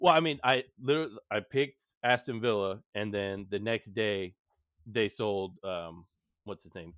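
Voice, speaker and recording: A man with an American accent speaks at a moderate pace in a fairly low voice, with ordinary pitch variation and big swings in loudness. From Houston, Texas. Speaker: podcast host. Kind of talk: casual chat.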